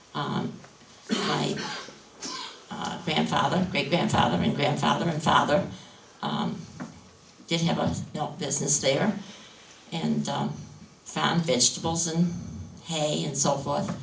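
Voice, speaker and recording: A woman's very deep, low voice at a fairly slow pace, with long, frequent pauses, audible room echo and noticeable background noise. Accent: New England. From New Hampshire seacoast. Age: 70s. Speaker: farmer. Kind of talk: panel discussion. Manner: halting.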